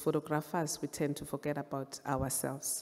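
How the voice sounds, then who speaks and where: In a Zulu accent, a woman speaks with a very deep, low pitch and a dark, mellow tone. Her intonation is flat and monotone. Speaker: photographer and visual artist. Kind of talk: panel presentation of artworks. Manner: halting, with fillers.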